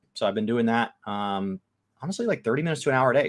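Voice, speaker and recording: Words pour out at a very fast pace, the pitch swinging very widely up and down. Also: man. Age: 20s. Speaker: gaming podcast co-host. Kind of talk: casual chat. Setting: live stream.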